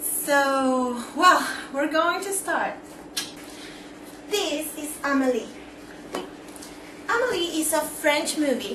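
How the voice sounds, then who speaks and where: Woman's high-pitched, raised, projected voice with a Spanish accent, very slow pace with long, frequent pauses, ordinary pitch variation, audible room echo, noticeable background noise. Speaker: vlogger. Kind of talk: movie review vlog. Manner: casual, hesitant with many fillers.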